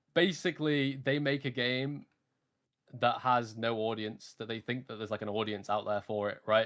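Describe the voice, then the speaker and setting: Very clean, with a silent background, the clip features a man with a British accent. His pitch is medium and varies in an ordinary way. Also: moderate pace. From UK. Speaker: streamer. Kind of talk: casual chat.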